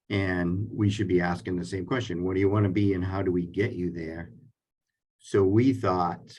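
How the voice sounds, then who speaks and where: A man's very deep, low voice, somewhat breathy, with fairly even intonation at a moderate pace. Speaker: career and technical school administrator. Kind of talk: webinar panel presentation. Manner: halting, many fillers.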